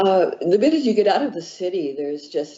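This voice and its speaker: A woman speaks with an American accent. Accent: American accent, noticed by Chileans. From Northern California. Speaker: author. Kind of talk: interview. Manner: halting.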